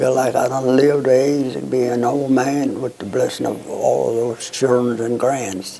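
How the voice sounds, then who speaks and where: Speaking at a fairly slow pace in a Southern US accent, the voice keeps a fairly even intonation over noticeable background noise. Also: man. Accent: Southern American. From North Alabama. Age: 80s+. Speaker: World War II veteran. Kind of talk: interview answer.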